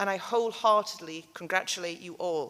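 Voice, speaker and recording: A woman with a north-east English accent, a bright, sharp tone and ordinary pitch variation. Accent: regional north-east English (Geordie). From North East England (Newcastle area). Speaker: graduation keynote speaker. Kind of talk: ceremonial speech. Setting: hall with audience. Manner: animated.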